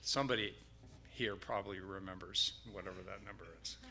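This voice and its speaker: Audible room echo surrounds a man's bright, sharp voice as he speaks at a moderate pace with fairly even intonation. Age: 70s. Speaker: church board president. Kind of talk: casual announcement.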